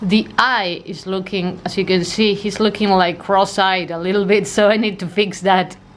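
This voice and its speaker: A woman speaks with an Argentine accent at medium pitch and a moderate pace. Her intonation is monotone and flat, with hardly any pauses. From Argentina, Buenos Aires. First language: Spanish. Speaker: art vlogger. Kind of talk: casual vlog talk.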